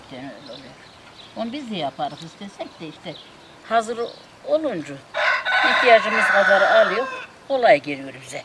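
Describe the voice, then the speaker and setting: A woman with a Central Anatolian accent speaks at a moderate pace with a fairly high pitch, very wide pitch swings and big swings in loudness. Long, frequent pauses break up her speech over loud background noise. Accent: rural Central Anatolian Turkish (Kayseri). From Turkey. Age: 60s. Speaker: farmer, host's mother; mother of the vlogger. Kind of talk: casual chat. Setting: outdoors in a village garden. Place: garden.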